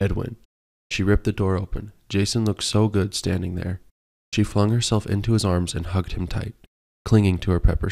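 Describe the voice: This is plain reading aloud with fairly even intonation over a quiet background.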